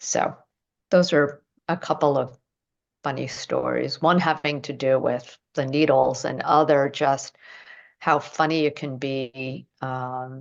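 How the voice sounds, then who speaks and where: At a very slow pace, a woman speaks at a very deep, low pitch with vocal fry and monotone, flat intonation. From United States. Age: 60s. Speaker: acupuncture teacher. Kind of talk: interview chat. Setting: podcast.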